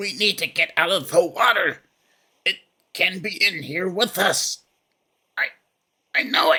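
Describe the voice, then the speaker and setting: A raspy, whispering put-on character voice at a moderate pace, with long, frequent pauses. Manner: half whisper, half shout.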